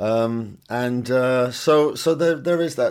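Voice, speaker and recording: In a Welsh accent, a man speaks with lively intonation. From Wales. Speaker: singer-songwriter. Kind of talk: interview. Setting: video call from home studio. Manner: halting, repeats words.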